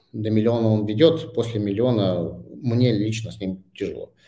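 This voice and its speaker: With a dark, mellow tone, a man speaks fairly low in pitch and at a fairly slow pace. His pitch varies in an ordinary way, and audible room echo surrounds the voice. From Saint Petersburg, Russia. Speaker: startup founder. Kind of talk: interview. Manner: halting.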